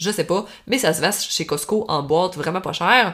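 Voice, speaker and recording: With a Saguenay–Lac-Saint-Jean accent, a woman talks at a fairly low pitch with lively intonation. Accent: Quebec French, Saguenay–Lac-Saint-Jean. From Quebec, Lac-Saint-Jean. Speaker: equestrian coach and podcast host. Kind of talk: solo podcast monologue, tips and advice. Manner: casual, conversational.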